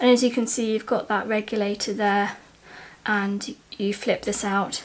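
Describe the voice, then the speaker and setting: Quiet and at a fairly slow pace, a woman talks with fairly even intonation. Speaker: outdoor gear reviewer. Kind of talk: casual talk to camera. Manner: quiet, slow.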